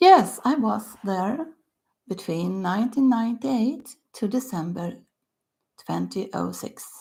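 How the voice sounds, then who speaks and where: A somewhat breathy voice with a Swedish accent and a dark, mellow tone moves at a fairly slow pace. The intonation is lively, broken by long, frequent pauses. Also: woman, fairly high pitch for a woman, big swings in loudness. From Sweden, Stockholm. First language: Swedish (earlier Yiddish). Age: 60s. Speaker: author. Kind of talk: casual talk to camera.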